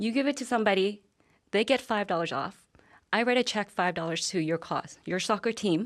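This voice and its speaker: A woman speaks at a fairly quick pace in a Vietnamese accent. The recording is very clean, with a silent background. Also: medium pitch for a woman, ordinary pitch variation. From Vietnam, raised in Calgary from childhood. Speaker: business owner. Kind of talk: TV interview.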